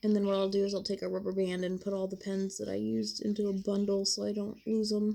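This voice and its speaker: Very fast, monotone speech with a flat intonation, a dark, mellow tone and hardly any pauses. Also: woman, medium pitch for a woman. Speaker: adult coloring livestreamer. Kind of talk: casual livestream chat while coloring.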